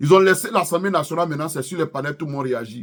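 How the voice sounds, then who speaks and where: A man with an Ivorian accent talks at a very fast pace. His pitch sits fairly high for a man. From Ivory Coast. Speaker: YouTuber, political commentator. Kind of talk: political commentary vlog. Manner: impassioned.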